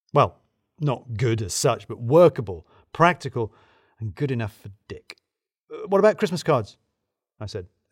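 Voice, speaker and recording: On a very clean recording with a silent background, a man speaks at a medium pitch and moderate pace, somewhat breathy, with very wide pitch swings. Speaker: audiobook narrator. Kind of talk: literary audiobook reading, first-person narration. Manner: conversational, dry humour with clear pacing.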